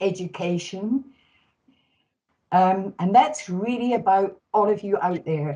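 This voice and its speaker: Speaking at a very slow pace, a woman uses a medium pitch. Her pitch varies in an ordinary way. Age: 70s. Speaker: data management professional. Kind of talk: panel self-introduction.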